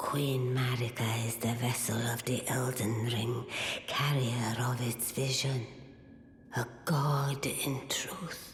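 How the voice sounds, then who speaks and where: The speaker uses a put-on character voice at a low-to-middle pitch, with a slight echo. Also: fairly slow pace. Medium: machinima. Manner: solemn, ceremonial.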